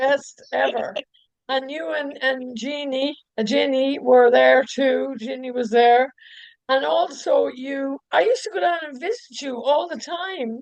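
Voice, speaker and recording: At a fairly slow pace, a high-pitched woman speaks with lively intonation and big swings in loudness. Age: 60s. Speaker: podcast host. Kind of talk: casual chat. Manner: animated.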